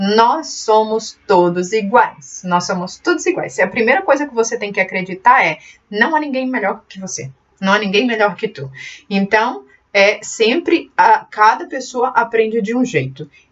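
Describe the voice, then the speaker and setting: Big swings in loudness, very wide pitch swings and a fairly slow pace. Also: woman, fairly high pitch for a woman. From Portugal (born in Brazil). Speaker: computer skills teacher, channel owner. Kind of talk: casual channel talk to camera. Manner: halting, with fillers.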